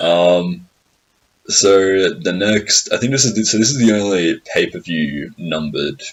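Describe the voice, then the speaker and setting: Fairly slow pace from a man with an Australian accent. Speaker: podcast host. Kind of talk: casual chat. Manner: repetitive, halting.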